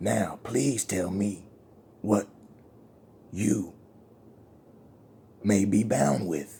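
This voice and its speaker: A man uses a put-on character voice, raspy and fairly low in pitch. He speaks very slowly, with long, frequent pauses. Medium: solo performance. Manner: wheedling, accusing.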